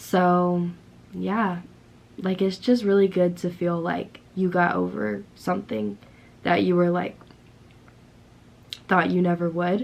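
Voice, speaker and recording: This woman's voice sits fairly low, with ordinary pitch variation. She talks at a very slow pace, leaving long, frequent pauses. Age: 20s. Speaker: vlogger. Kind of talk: casual talk to camera.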